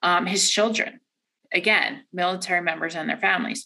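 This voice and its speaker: With an American accent, a woman talks at a moderate pace in a medium pitch, her bright, sharp tone marked by vocal fry. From Delaware, US. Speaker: credit card product manager. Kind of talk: interview. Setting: office.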